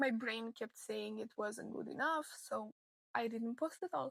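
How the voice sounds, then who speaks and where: A woman with a non-native accent talks at a high pitch and fairly slow pace. The sound is dry and close with no echo. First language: not English. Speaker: crochet content creator. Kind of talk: personal vlog monologue.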